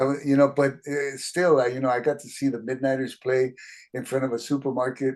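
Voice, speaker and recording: A man with an American accent talks at a fairly quick pace in a medium pitch. His delivery is monotone and flat, with big swings in loudness. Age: 70s. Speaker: musician. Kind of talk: casual interview.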